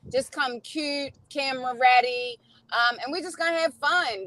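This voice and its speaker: Using a Baltimore accent, a woman with a high-pitched voice speaks at a moderate pace. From Baltimore, Maryland, US. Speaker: singer and video maker. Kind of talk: casual chat. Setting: in a car.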